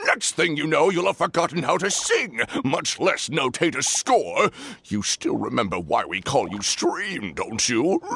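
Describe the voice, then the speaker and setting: Someone speaks in a cartoonish character voice at a moderate pace. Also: man, high pitch for a man. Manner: playful, teasing.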